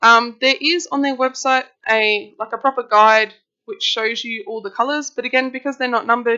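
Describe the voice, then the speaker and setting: A woman speaks here. She has a high pitch with ordinary variation. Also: moderate pace. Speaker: art channel host. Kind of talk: product review tutorial. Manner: casual, hesitant with ums.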